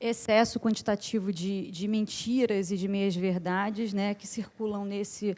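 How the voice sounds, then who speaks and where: A dark, mellow tone with ordinary pitch variation at a fairly slow pace. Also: woman. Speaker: academic researcher, conference panelist. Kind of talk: conference panel talk. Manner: many fillers and self-corrections.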